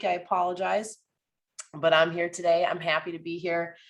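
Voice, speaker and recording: Woman in a put-on character voice, raspy and fairly low in pitch, at a moderate pace. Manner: upbeat, cheerful.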